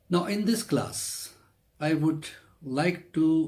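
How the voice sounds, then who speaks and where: A man with a non-native accent talks in a somewhat breathy voice with ordinary pitch variation. Room echo is audible. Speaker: Islamic cleric and lecturer. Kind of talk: religious lecture.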